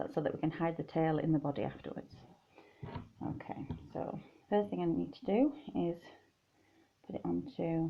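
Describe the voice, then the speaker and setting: Speech in a British accent with long, frequent pauses. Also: woman. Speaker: crochet doll designer. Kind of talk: tutorial. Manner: loud. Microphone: tablet mic, low quality.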